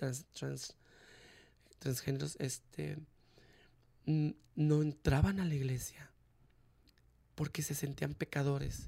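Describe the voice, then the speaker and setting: He is a man. His pace is very slow. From Mexico. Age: 30s. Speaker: interviewee sharing life story. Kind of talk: testimony.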